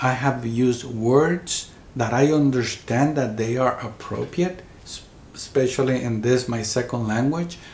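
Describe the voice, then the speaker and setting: A man speaks at a fairly slow pace with a Spanish accent, his pitch medium and its variation ordinary. His voice is somewhat breathy, and the room echo is audible. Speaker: near-death experiencer. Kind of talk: interview. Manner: halting, repeats words.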